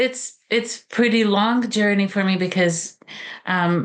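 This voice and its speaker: Here a woman with a Romanian accent speaks at a fairly slow pace. Her pitch variation is ordinary. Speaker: author and college teacher. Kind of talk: interview. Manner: halting, many fillers.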